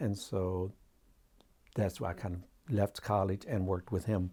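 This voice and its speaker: In a very clean recording with a silent background, a man with an American accent speaks at a fairly slow pace in a fairly low, somewhat breathy voice. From US Midwest, Xenia, Ohio. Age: 60s. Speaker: visual artist. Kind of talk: interview. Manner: halting.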